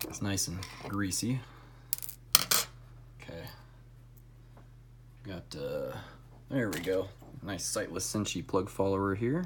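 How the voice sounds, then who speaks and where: Mumbling at a very slow pace, with long, frequent pauses and noticeable background noise. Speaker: lock picking hobbyist. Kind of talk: casual tutorial demonstration. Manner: trying to talk louder.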